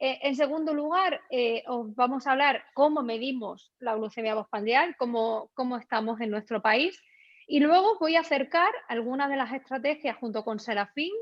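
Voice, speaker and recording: With ordinary pitch variation, a woman's high-pitched voice comes through. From Extremadura, Spain. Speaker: endocrinologist. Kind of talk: webinar presentation. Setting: live online seminar.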